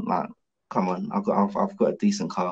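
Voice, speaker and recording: Light background noise sits behind the voice. A man talks at a fairly quick pace. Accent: London. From London, Hackney; London. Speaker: professional boxer; podcast guest. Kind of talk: casual interview. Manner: animated. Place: home room. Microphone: video call.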